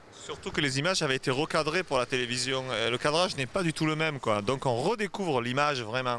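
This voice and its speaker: With hardly any pauses and very even loudness, a man speaks at a very fast pace and fairly high pitch, with ordinary pitch variation. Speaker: author and cinema director. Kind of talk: casual conversation. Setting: book fair.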